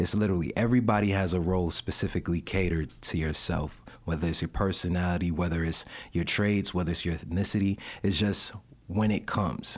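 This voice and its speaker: A man with a New York accent and a very deep, low pitch speaks at a very fast pace with fairly even intonation and very even loudness, in a very clean recording with a silent background. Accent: New York, can also do Jamaican. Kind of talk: casual interview chat. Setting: studio. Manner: earnest, faith-focused.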